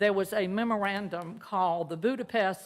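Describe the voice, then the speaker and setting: A woman speaks with a Southern US accent at a medium pitch and moderate pace. Her pitch varies in an ordinary way, and the recording is very clean with a silent background. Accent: Southern US (Georgia). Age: 70s. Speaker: member of the public at meeting. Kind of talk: public comment. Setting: public meeting. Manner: halting.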